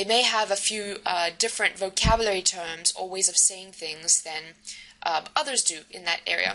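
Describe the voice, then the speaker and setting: Amid noticeable background noise, a woman with a South African accent speaks at a moderate pace and medium pitch with ordinary pitch variation. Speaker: university lecturer. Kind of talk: recorded lecture. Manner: hesitant with many fillers.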